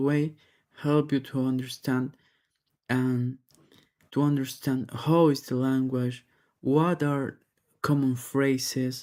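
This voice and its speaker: Medium in pitch, this man's voice has a dark, mellow tone. He speaks very slowly in a flat monotone. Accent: Spanish. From Peru. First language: Spanish. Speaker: English learner. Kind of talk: practice test speaking response. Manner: halting.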